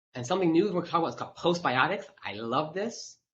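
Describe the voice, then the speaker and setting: Intonation is lively as a man speaks at a moderate pace. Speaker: physician. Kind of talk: webinar Q&A. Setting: live webinar. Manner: loud; halting, many fillers.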